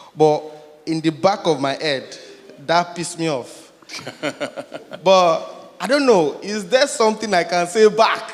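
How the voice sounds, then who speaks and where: There is noticeable background noise as a man speaks with long, frequent pauses. His pitch is high and his intonation is lively. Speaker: audience member asking a question. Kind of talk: Q&A question at conference.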